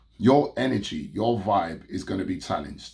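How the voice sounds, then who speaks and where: A man speaks in a somewhat breathy voice. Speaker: business consultant. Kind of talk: motivational talk to camera. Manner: casual.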